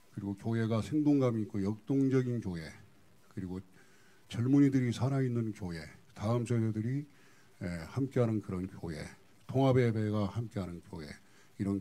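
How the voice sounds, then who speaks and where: A man with a fairly low pitch and a dark, mellow tone, with big swings in loudness and long, frequent pauses. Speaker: pastor. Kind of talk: seminar case presentation. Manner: fast.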